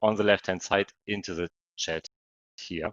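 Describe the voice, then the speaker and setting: With a plain, everyday voice, a man speaks at a fairly slow pace and fairly even intonation. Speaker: trading coach. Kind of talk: webinar presentation.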